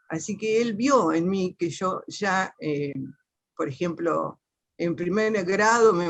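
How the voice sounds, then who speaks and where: A woman talks with a fairly low pitch and ordinary pitch variation. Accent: Argentine Litoral. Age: 60s. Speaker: teacher, panel participant. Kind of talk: personal testimony in a panel talk. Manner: halting, many fillers and self-corrections.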